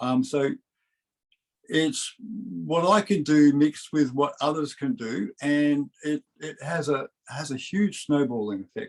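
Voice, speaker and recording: A man's fairly high voice at a very slow pace, with lively intonation and a dry, close sound free of echo. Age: 60s. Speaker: wellness community founder and health coach. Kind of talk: interview on a group video call. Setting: online group call. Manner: halting, many fillers and restarts.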